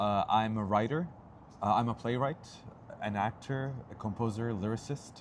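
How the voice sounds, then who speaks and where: Talking at a fairly slow pace, a man with a Turkish accent shows ordinary pitch variation. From Turkey. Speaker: actor and playwright. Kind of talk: interview.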